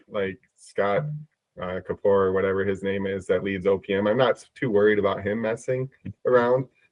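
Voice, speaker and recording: A man with a Midwestern accent, fairly low pitch, fairly even intonation and a moderate pace. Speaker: prediction market trader. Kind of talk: casual podcast chat. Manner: halting, many repetitions.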